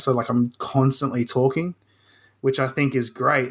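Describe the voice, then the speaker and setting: A man with an Australian accent, medium pitch, flat monotone delivery and a fairly quick pace, on a very clean recording with a silent background. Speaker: hobbyist woodworker and video creator. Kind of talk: casual chat. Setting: podcast interview.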